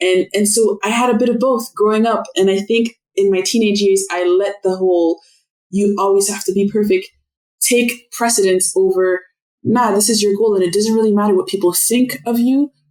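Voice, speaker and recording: With a French accent, a woman speaks at a medium pitch, her intonation fairly even and her loudness very even. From Canada, Montreal then Ottawa. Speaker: podcast guest. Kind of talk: casual interview conversation.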